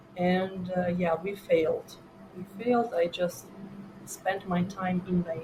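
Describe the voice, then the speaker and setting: Music plays behind a woman speaking at a very slow pace. Her medium-pitched voice is monotone and flat. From Ukraine, Donbas (Donetsk). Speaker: immigrant startup founder. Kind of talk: podcast interview. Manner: halting, many fillers.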